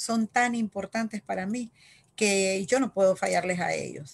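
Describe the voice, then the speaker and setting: At a fairly slow pace, a woman talks in a medium pitch with fairly even intonation. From Nicaragua, Managua. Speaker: local election candidate. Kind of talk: interview. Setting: video call. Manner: halting. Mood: warm, earnest. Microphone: video call.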